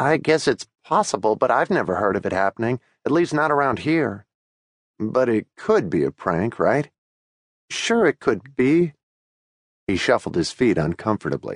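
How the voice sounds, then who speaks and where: A man's medium-pitched voice with vocal fry and a calm, tearful tone, very wide pitch swings and very even loudness, at a moderate pace with long, frequent pauses, in a dry, close sound with no echo and a quiet background. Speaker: audiobook narrator. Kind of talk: dramatic audiobook narration with character voices. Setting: studio.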